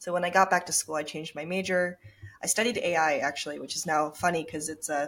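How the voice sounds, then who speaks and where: An ordinary speaking voice from a woman with an American accent, fairly low in pitch with ordinary pitch variation, at a fairly quick pace on a very clean recording with a silent background. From Japan and Minnesota. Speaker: startup founder and CEO. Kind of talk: interview.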